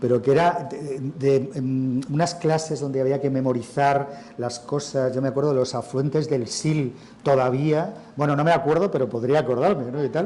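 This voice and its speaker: Over noticeable background noise, a man with a Madrid accent speaks at a moderate pace in a fairly high voice. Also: ordinary pitch variation. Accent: central Spain (Madrid) Spanish. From Spain, Madrid. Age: 60s. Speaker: writer and journalist. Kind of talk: interview at a literary festival. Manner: conversational, with false starts and fillers.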